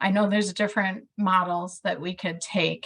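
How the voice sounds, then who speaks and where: A somewhat breathy woman's voice at medium pitch, with a strong Midwestern accent, fairly even intonation and a moderate pace. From US Midwest. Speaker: care coordination program staff. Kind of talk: online meeting discussion.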